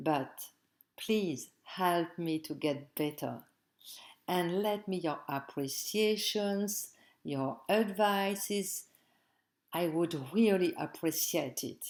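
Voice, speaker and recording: A woman's fairly low voice in a French accent, very slow with long, frequent pauses and ordinary pitch variation. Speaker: tarot teacher. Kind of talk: tutorial. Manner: halting, non-fluent English.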